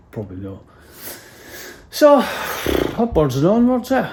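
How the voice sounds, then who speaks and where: A man with a North East Scottish accent at a moderate pace, with fairly even intonation. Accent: Doric Scots, normally broad. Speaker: DIY house renovator, vlogger. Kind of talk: casual vlog chat. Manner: hesitant, many fillers.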